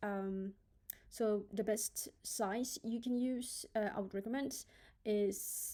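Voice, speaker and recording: A woman speaks with a non-native accent in a dark, mellow tone. Her pitch is fairly high, with ordinary variation. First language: not English. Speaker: graphic designer. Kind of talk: tutorial. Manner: hesitant, many filler ums.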